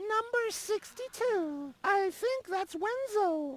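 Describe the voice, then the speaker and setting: Using a put-on character voice, a woman talks at a very slow pace in an extremely high, squeaky pitch with lively intonation. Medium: video game. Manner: catty, throat-clearing.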